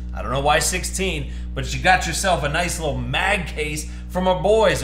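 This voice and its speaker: Music in the background and audible room echo around a man talking at a moderate pace. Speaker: box break host. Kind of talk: excited live stream commentary. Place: studio.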